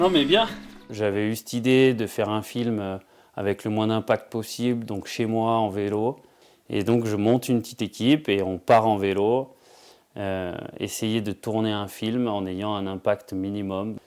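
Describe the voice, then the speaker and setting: In a very clean recording with a silent background, a man talks at a fairly slow pace with fairly even intonation. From France, Savoie (Alps). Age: 30s. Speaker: professional skier and filmmaker. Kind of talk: interview monologue. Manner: hesitant, with frequent fillers.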